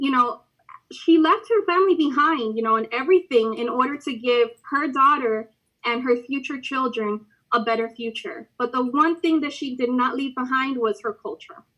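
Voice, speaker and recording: In a Spanish accent, a woman uses a raised, projected voice at a high pitch. She keeps a moderate pace. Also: ordinary pitch variation. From United States (Cuban-American home). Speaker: college student life staff host. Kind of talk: live-stream host talk.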